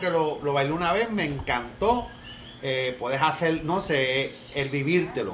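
Noticeable background noise and an audible echo from the room surround a man as he talks. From Cuba. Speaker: salsa student. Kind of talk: casual chat.

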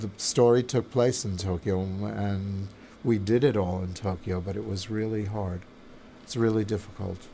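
A man with an American accent talks at a moderate pace and a fairly low pitch with ordinary variation. His voice is somewhat breathy, with a dark, mellow tone. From New York. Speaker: theater and film director. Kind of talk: interview. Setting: editing suite.

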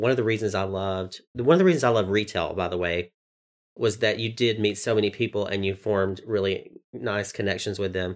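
In a Southern US accent, a man with a fairly low pitch speaks at a moderate pace with ordinary pitch variation, recorded very cleanly against a silent background. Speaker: podcast host. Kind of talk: casual conversation, season recap.

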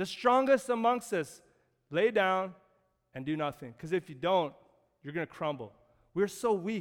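In a very clean recording with a silent background, a man with a Canadian accent talks at a high pitch and fairly slow pace, with very wide pitch swings and long, frequent pauses. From Canada. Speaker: pastor. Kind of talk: sermon.

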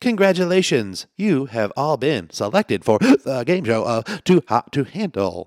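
A man puts on a robotic character voice at a fairly high pitch, with very wide pitch swings. He keeps a moderate pace with hardly any pauses, and the recording is very clean with a silent background.

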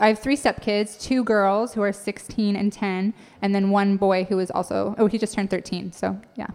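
This is an ordinary speaking voice with an American accent. It moves at a moderate pace with fairly even intonation. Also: woman. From Idaho. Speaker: comedian and author. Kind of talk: casual chat. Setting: stage with audience.

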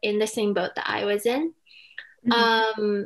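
The speaker uses fairly even intonation at a moderate pace, with an American accent. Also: woman. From California, Silicon Valley. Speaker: college student. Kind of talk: casual interview chat.

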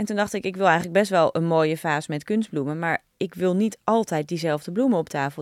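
On a very clean recording with a silent background and a dry, close sound with no echo, a woman with an unremarkable speaking voice talks at a fairly low pitch with ordinary pitch variation. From Netherlands, Naarden. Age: 40s. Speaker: entrepreneur, company founder. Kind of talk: interview, casual conversation.

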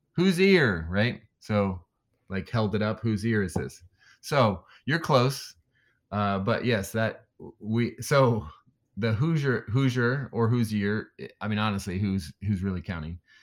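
A man's normal speaking voice, fairly low in pitch, at a fairly slow pace with lively intonation, in a very clean recording with a silent background. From Indiana, US Midwest. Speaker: weightlifting coach. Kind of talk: casual interview conversation.

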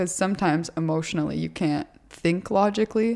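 A woman with an unremarkable speaking voice talks at a fairly quick pace with ordinary pitch variation. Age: 20s. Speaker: fitness podcast host and influencer. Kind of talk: podcast interview.

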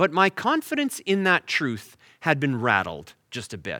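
In a Canadian accent, a man speaks at a moderate pace with a bright, sharp tone and very wide pitch swings. The sound is dry and close, with no echo. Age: 40s. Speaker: pastor. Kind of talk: sermon. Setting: online church service.

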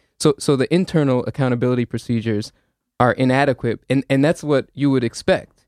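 At a fairly quick pace, a man with an American accent speaks in a normal speaking voice at medium pitch. His intonation is fairly even, his loudness very even, and the sound is dry and close with no echo. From suburbs of New Haven, Connecticut. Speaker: community organizer. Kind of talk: interview, advocacy.

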